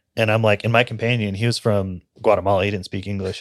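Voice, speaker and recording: Very fast speech comes from a man with a fairly low pitch and monotone, flat intonation. The recording is very clean, with a silent background. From Central California.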